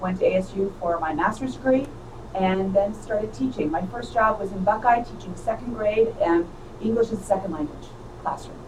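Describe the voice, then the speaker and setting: A woman with an American accent and a medium pitch talks at a moderate pace with ordinary pitch variation over noticeable background noise. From Arizona. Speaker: teacher running for state superintendent. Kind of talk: interview.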